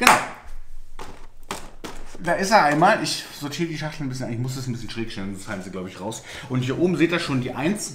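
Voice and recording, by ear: Over faint background noise, a man speaks fast at a medium pitch, with a fairly bright tone and lively intonation.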